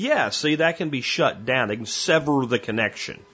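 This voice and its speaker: A man talks with an American accent at a moderate pace and a fairly high pitch. He has an ordinary speaking voice. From Pennsylvania. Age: 40s. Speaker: podcast host. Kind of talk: casual monologue.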